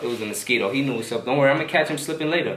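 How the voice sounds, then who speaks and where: Very fast and animated, a man with a New York accent speaks at a medium pitch amid noticeable background noise and audible room echo. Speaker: social media creator. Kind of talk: vlog tutorial.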